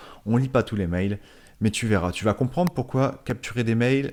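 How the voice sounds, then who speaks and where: On a very clean recording with a silent background, a man talks at a moderate pace and medium pitch with lively intonation. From northern France. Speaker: network marketing podcaster. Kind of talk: casual monologue podcast. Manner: halting, many fillers and repetitions.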